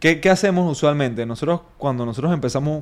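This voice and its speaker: At a fairly quick pace, a man with a plain, everyday voice speaks at a fairly high pitch with ordinary pitch variation. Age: 30s. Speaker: fitness coach and gym owner. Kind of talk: interview.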